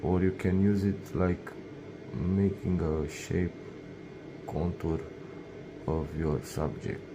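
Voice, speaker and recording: A man's very deep, low voice with a non-native accent and fairly even intonation, over noticeable background noise. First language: not English. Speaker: laser engraving hobbyist / YouTuber; YouTuber. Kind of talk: tutorial. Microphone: phone near.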